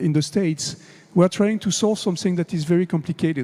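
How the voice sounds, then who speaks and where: The speaker has a French accent and ordinary pitch variation. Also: man. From France. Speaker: conference speaker on AI. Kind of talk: conference talk.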